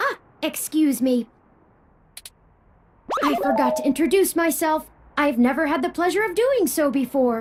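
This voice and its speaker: A high-pitched, put-on character voice at a moderate pace, broken by long, frequent pauses. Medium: video game. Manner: precise, polite, talkative.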